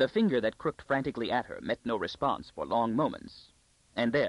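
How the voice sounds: This is a natural reading voice. It is read aloud.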